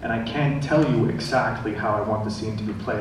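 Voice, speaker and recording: A man speaks at a fairly quick pace with a fairly low pitch, against noticeable background noise and audible room echo. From Sweden. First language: Swedish. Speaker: film director. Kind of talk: panel discussion. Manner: halting.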